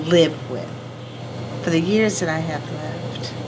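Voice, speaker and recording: A woman speaks at a fairly slow pace with a fairly low pitch. The room echo is audible and there is noticeable background noise. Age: 70s. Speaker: kidney patient and entrepreneur. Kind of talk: interview testimony. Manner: emotional, heartfelt.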